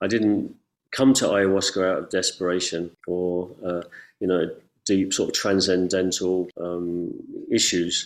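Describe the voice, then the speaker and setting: With an English accent, a man speaks at a moderate pace and a fairly low pitch. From England. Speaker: ayahuasca ceremony facilitator. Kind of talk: casual interview chat. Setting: video call.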